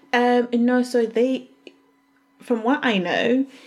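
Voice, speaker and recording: A woman talks over noticeable background noise. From Zambia and Glasgow, Scotland. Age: 20s. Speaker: interviewee. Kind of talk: interview.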